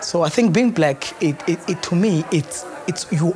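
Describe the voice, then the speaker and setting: Moderate pace with music in the background. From Eastern Cape, South Africa. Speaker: university graduate. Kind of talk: documentary interview.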